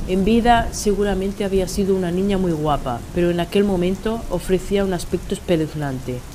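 At a moderate pace, a woman talks in a medium pitch with ordinary pitch variation over noticeable background noise. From Spain. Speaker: writer. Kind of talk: reading aloud.

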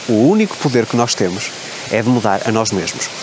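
Here a man speaks at a medium pitch. There is noticeable background noise behind him. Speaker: self-help coach and YouTuber. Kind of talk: motivational vlog monologue. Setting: outdoors by a waterfall.

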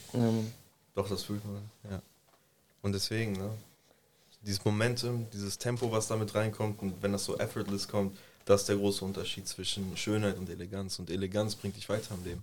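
A man with a fairly low pitch, monotone, flat intonation, a moderate pace and long, frequent pauses. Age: 20s. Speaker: podcast co-host. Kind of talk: casual chat.

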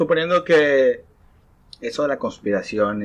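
The pace is very slow from this man. His fairly high pitch swings very widely. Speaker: podcast host. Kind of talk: casual chat.

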